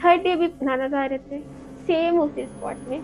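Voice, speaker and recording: Noticeable background noise surrounds a woman speaking in a high voice. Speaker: horror story narrator. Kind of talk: horror storytelling narration.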